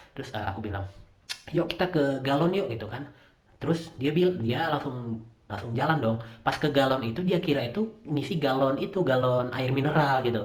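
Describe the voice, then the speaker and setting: With a Medan accent, a man at a fairly high pitch speaks at a fairly quick pace with lively intonation, over noticeable background noise and audible room echo. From Medan, North Sumatra. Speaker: podcaster. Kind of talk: monologue storytelling. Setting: home recording. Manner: halting.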